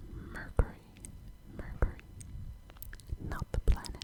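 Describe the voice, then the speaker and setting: Noticeable background noise sits behind a woman who is whispering at a fairly slow pace. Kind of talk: ASMR trivia quiz, close whispering. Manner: whispered, soft, slow.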